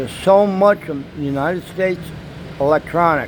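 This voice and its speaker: The voice moves at a fairly slow pace with ordinary pitch variation over noticeable background noise. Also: man. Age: 60s. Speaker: vlogger. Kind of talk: casual monologue vlog. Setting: apartment.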